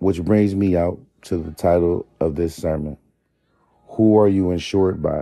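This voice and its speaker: Dark and mellow in tone, a man speaks at a moderate pace with fairly even intonation. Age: 30s. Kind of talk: faith talk, sermon-like monologue. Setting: home bedroom with gospel music playing.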